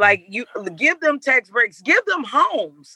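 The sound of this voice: A woman speaks fairly slowly in a bright, sharp tone with very wide pitch swings. The sound is dry and close, with no echo.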